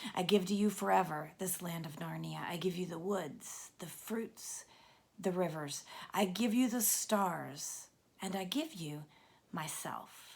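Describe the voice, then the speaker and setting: Putting on a raspy character voice, a woman speaks at a fairly slow pace in a medium pitch. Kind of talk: solemn proclamation. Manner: strong, happy, majestic.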